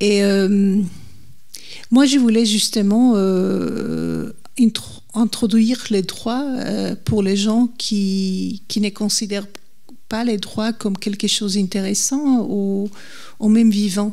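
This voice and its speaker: Speaking at a very slow pace, a woman uses a medium pitch and a dark, mellow tone. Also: fairly even intonation. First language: not French (speaking French). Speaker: legal historian, author. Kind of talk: public talk interview. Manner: halting, searching for words.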